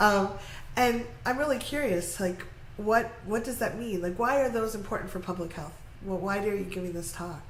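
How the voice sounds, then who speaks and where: Speaking at a moderate pace, a woman is heard over noticeable background noise with audible room echo. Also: medium pitch for a woman, ordinary pitch variation. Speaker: interviewer. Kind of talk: interview. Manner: stuttering today.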